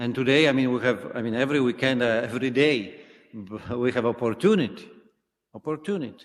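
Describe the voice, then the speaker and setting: A man's non-native accent, fairly quick pace and ordinary pitch variation. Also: medium pitch for a man. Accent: foreign. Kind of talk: sermon. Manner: halting, many fillers.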